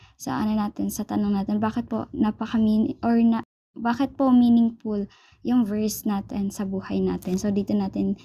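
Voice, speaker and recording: This woman's voice sits at a medium pitch and is somewhat breathy. Her tone is dark and mellow. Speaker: church cell group leader. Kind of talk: Bible study instruction. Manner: halting.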